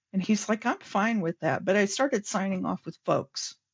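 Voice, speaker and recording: This woman has a normal speaking voice and medium pitch. She goes at a moderate pace. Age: 60s. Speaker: scrum master and workplace pride chair. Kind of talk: podcast interview.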